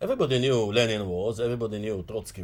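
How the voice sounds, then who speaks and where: The speaker talks at a fairly quick pace and sounds somewhat breathy. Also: man. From Mandate Palestine / Israel. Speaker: political activist. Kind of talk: interview. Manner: halting, with frequent fillers.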